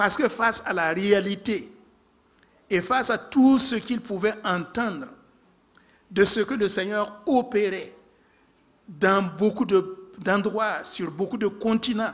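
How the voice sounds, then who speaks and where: This man has a high pitch for a man and an African accent, with ordinary pitch variation. He talks at a very slow pace, with long, frequent pauses. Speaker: preacher. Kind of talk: sermon.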